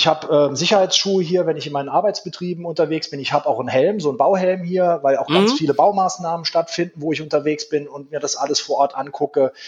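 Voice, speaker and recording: A very fast-talking man with a fairly high pitch, over noticeable background noise. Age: 40s. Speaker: prison director. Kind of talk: interview.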